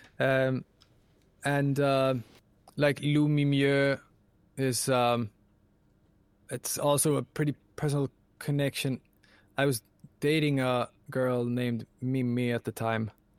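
A man speaks very slowly in a Swedish accent, with long, frequent pauses and monotone, flat intonation. The sound is dry and close, with no echo. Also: medium pitch for a man. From Sweden. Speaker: composer and voice actor. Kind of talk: interview. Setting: home production room.

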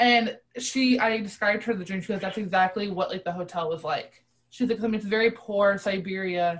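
This woman has an American accent and a medium pitch. Her voice is somewhat breathy, with fairly even intonation. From US (adopted from Russia at 3). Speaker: podcast guest. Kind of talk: casual chat.

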